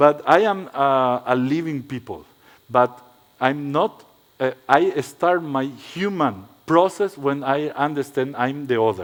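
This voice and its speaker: A man with a non-native accent talks at a fairly slow pace, his fairly high pitch showing ordinary pitch variation. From Paraguay. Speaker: architect. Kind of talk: lecture. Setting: stage with audience. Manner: halting.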